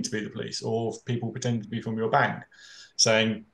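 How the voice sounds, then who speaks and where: Fairly quick speech from a man with a British accent. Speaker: fraud prevention expert, panelist. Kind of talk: panel discussion. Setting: webinar. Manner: hesitant, many filler words and repetitions.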